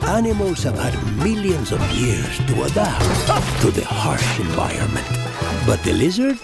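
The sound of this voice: In a cartoonish character voice, a man speaks at medium pitch with very wide pitch swings and vocal fry, at a fairly slow pace, with clear music in the background.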